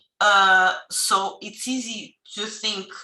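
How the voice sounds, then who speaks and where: This is a woman speaking. She has a Portuguese accent. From Portugal. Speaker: Portuguese language teacher. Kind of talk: webinar talk. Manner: halting.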